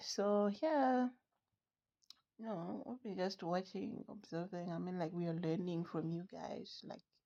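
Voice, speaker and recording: Here a voice with a dark, mellow tone moves along at a fairly slow pace. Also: woman. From outside the US. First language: not English. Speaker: sports fan vlogger. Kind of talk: casual commentary vlog. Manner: halting, many fillers.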